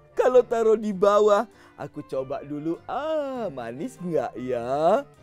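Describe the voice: A man's put-on character voice, high and slightly mellow, slow and full of big pitch swings, with faint music in the background.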